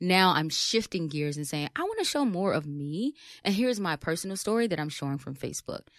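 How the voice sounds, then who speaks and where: With lively intonation and a fairly quick pace, a woman speaks at medium pitch in a very clean, dry, close recording with no echo and a silent background. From US Midwest, west side of Chicago. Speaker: empowerment speaker and professor. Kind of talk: casual interview.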